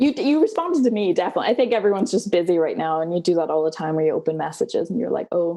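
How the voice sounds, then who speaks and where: In a Danish accent, a woman speaks at a very fast pace with hardly any pauses. Her medium-pitched voice has a dark, mellow tone and lively intonation. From Denmark. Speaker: PhD student. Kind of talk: interview. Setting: video call.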